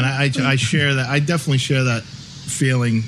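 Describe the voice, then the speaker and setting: A medium-pitched male voice at a moderate pace, amid noticeable background noise. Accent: American. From Long Island, New York. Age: 40s. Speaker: podcast host, tattoo artist. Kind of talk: casual interview.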